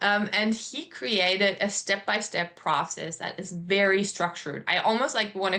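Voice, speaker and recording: In a German accent, the speaker keeps a moderate pace with ordinary pitch variation and hardly any pauses. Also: woman. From Germany. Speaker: artist. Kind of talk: interview.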